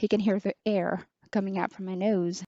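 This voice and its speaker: Soft-spoken and at a fairly slow pace, a woman talks at a medium pitch. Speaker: online teacher reviewing a headset. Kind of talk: product review.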